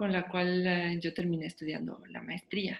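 A woman speaks at a medium pitch. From Mexico. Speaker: concert pianist. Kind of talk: casual chat.

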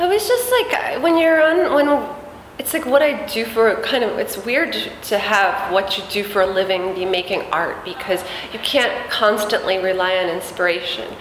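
A woman's voice moves through very wide pitch swings over noticeable background noise. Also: fairly high pitch for a woman, moderate pace. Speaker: singer-songwriter. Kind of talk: interview, casual chat. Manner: laughs often, casual.

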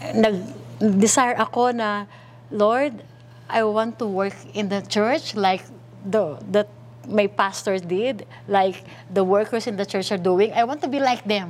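With lively intonation, a plain, everyday voice talks at a fairly slow pace. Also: woman, medium pitch for a woman. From Philippines, Manila. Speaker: pastor. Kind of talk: testimony.

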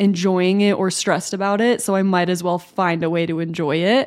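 Here is a woman with a plain, everyday voice. Her pitch is medium and her pace moderate. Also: very clean recording, silent background. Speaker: podcast co-host. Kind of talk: casual chat.

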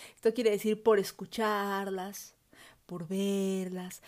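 A woman's animated tone comes through a very clean recording with a silent background. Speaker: podcast host. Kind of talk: solo educational podcast monologue.

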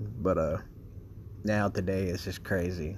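Monotone, flat intonation in a somewhat breathy voice at a moderate pace. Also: man. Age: 20s. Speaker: podcast host. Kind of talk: casual monologue. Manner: laughs often.

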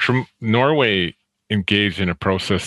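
A man's very slow speech, bright and sharp in tone, with a dry, close sound and no echo. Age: 60s. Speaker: theology professor. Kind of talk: casual chat.

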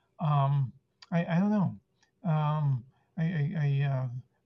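A somewhat breathy voice with a dark, mellow tone and ordinary pitch variation. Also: man. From Argentina, moved to San Francisco at six. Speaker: stand-up comedian. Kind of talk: casual interview. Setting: video call. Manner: halting, many fillers and repetitions.

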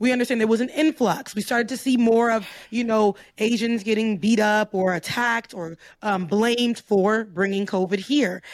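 A woman with an American accent speaks in a normal speaking voice at a fairly high pitch and a moderate pace, with ordinary pitch variation. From US South, Florida. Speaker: commentator. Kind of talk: casual chat.

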